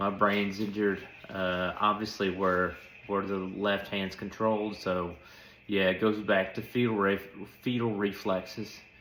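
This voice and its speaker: Fairly low-pitched male voice in a monotone, flat intonation, with audible room echo. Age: young. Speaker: stroke survivor. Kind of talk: casual update monologue. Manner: hesitant with many fillers.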